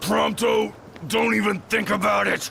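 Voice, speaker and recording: A raspy, put-on character voice from a man, with clear background noise. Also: moderate pace. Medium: machinima.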